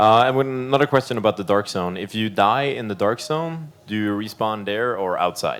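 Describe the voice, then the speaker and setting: A man speaks with a Swedish accent. His pitch is fairly low, with ordinary variation. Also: moderate pace. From Sweden. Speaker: stream co-host reading chat questions. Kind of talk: live stream Q&A. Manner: halting.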